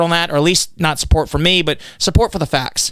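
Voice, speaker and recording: Loud and very fast, a man speaks with ordinary pitch variation. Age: 40s. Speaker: political candidate. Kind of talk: podcast interview.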